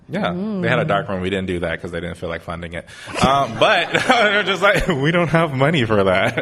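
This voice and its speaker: A man's medium-pitched voice with very wide pitch swings at a moderate pace, over noticeable background noise. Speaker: audio engineer. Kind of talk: casual conversation on live podcast. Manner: rambling, casual.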